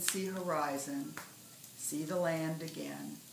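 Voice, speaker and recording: A woman with a very deep, low pitch and an American accent, fairly even intonation, a very slow pace, and noticeable background noise. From US Great Lakes, northern Michigan. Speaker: poet. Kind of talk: poetry reading; casual talk to camera. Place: home room. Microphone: phone near.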